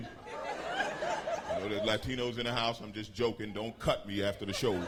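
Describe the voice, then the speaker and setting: A man with an American accent at a moderate pace, hardly any pauses, and noticeable background noise. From United States. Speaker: stand-up comedian. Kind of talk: stand-up comedy performance. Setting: live stage with audience. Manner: calm, smooth, confident.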